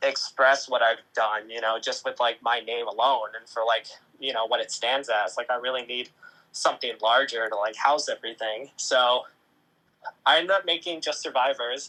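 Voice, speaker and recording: A man speaks at a moderate pace with a bright, sharp tone. His pitch is medium and varies in an ordinary way. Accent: American. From US Midwest, Ohio. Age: 20s. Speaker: photographer and agency founder. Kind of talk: podcast interview. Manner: hesitant, many fillers.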